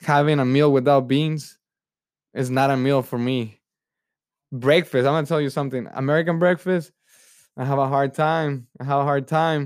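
A man with a Spanish accent and a fairly high voice, at a moderate pace with fairly even intonation and long, frequent pauses, on a very clean recording with a silent background. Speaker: podcast host. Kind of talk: casual solo podcast monologue. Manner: halting, self-correcting, repeats words; warm, friendly, laughs often.

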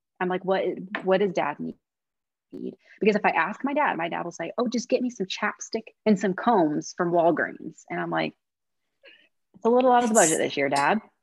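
Using an American accent, a woman talks at a moderate pace with medium pitch, lively intonation, vocal fry and long, frequent pauses, in a dry, close sound with no echo. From US Midwest. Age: 30s. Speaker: romance author. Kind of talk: casual chat.

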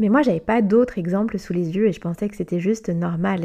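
A dark, mellow tone at a very fast pace, with ordinary pitch variation. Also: woman. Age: 30s. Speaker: blogger and life coach. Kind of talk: personal testimony.

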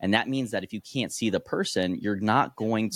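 This man has an ordinary speaking voice and an American accent, talking at a moderate pace with ordinary pitch variation. The recording is very clean, with a silent background. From born in Korea, raised in the US. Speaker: nutrition educator and coach. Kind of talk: casual interview.

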